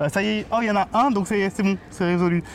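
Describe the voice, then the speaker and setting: A man's voice with noticeable background noise. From Paris. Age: 30s. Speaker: podcast host. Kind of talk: casual chat. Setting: outdoors.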